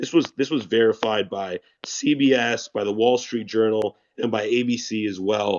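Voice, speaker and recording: A man with a normal speaking voice talks in a fairly low pitch with ordinary pitch variation. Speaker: online news commentator. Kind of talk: news commentary.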